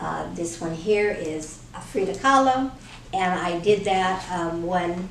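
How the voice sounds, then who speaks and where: Very slowly, a woman speaks at a medium pitch with ordinary pitch variation, with audible room echo and noticeable background noise. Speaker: artist and author. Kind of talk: interview.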